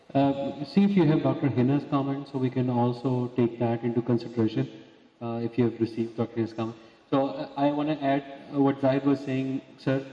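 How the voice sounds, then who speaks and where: Noticeable background noise sits behind a man speaking. His medium pitch holds a fairly even intonation at a fairly quick pace. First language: not English. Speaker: physician. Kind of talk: panel discussion. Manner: fast.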